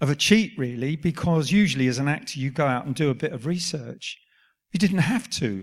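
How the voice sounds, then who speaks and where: Heard in a very clean recording with a silent background, the voice is somewhat breathy and has lively intonation. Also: man, fairly high pitch for a man. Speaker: actor. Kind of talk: live Q&A on stage. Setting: stage with audience.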